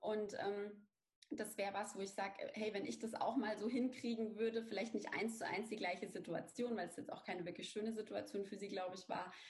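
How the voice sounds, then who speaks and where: At a fairly quick pace, a woman speaks with a somewhat breathy, medium-pitched voice and fairly even intonation, with audible room echo. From Bavaria, Lower Franconia (near Aschaffenburg). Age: 30s. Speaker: brand strategy consultant, business owner. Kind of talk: interview.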